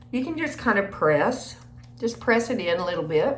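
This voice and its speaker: A woman's voice with very wide pitch swings and audible room echo. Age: 60s. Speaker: beauty vlogger. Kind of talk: get-ready-with-me makeup tutorial. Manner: casual, chatty.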